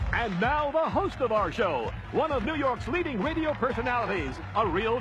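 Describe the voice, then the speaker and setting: With noticeable background noise, the speaker talks at a fairly quick pace with lively intonation. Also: man. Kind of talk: infomercial announcer read.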